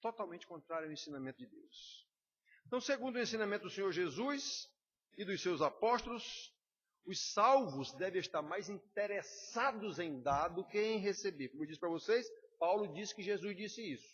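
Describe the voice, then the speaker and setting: A man with a high pitch talks at a moderate pace, with lively intonation and big swings in loudness. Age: 60s. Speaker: pastor. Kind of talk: sermon. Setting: church.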